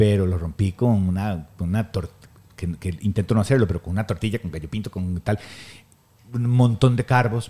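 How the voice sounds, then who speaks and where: With a Costa Rican accent, a man speaks in a dark, mellow tone at a fairly low pitch with ordinary pitch variation. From Costa Rica, Guanacaste. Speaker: photographer and weightlifting coach. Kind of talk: casual chat.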